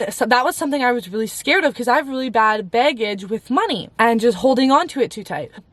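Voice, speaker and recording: A woman at high pitch and very fast pace, animated in tone, with lively intonation and hardly any pauses. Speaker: faith vlogger. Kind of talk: casual story time vlog.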